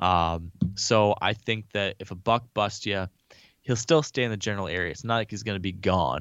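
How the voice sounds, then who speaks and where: Fairly low in pitch, a man talks at a moderate pace in an ordinary speaking voice, with ordinary pitch variation. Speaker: hunter, bow hunting guest. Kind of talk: casual interview.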